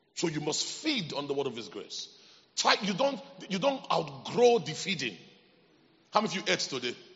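A man with a high voice speaks at a moderate pace, his pitch swinging very widely, with long, frequent pauses and noticeable background noise. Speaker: preacher. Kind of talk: sermon. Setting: church with congregation. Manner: animated, call-and-response; emphatic, repetitive.

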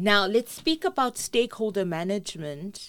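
A woman speaks with a South African accent. Her intonation is lively. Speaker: podcast host. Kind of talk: interview. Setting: studio.

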